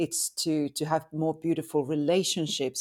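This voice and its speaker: Recorded very cleanly with a silent background and a dry, close sound with no echo, a woman speaks with a Finnish accent at a very deep, low pitch. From Finland. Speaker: tantric sex and relationship coach. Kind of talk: interview.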